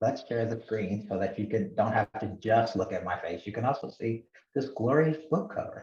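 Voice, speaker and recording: Speaking at a moderate pace, a man with a somewhat breathy, dark, mellow tone uses lively intonation at a medium pitch. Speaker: professor. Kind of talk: lecture.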